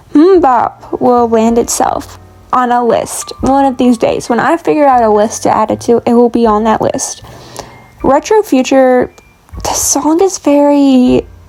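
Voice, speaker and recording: The speech moves at a fairly slow pace with lively intonation. Noticeable background noise runs underneath. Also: woman. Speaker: lifestyle vlogger. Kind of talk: casual chat. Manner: animated.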